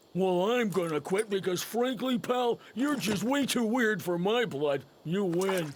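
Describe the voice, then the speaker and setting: A man puts on a cartoonish character voice, pitched high with lively intonation. He talks at a fairly slow pace in very even loudness. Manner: blunt, folksy.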